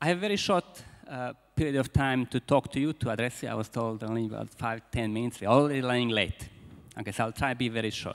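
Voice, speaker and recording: Very fast speech comes from a man with a Croatian accent, his medium-pitched voice showing ordinary pitch variation on a very clean recording with a silent background. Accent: Croatian accent, persistent. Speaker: business school founder and speaker. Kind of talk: conference keynote speech. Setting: conference hall with audience. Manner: halting, with repetitions.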